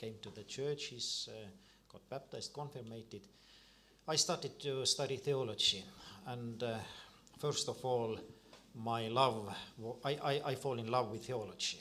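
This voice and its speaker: A man with an Estonian accent speaks at a fairly slow pace and medium pitch, with long, frequent pauses, a bright, sharp tone and big swings in loudness. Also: ordinary pitch variation. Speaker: Lutheran priest. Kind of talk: panel discussion. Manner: halting, many repeated words.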